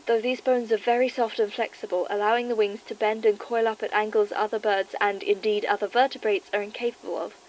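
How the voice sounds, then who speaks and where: This woman talks very fast in a British accent, with hardly any pauses. Her voice sits fairly high and her intonation stays fairly even. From England. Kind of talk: horror document reading.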